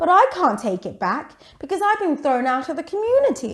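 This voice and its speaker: Putting on a character voice, a woman cackles at a high pitch with very wide pitch swings and a moderate pace. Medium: read story. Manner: cackling.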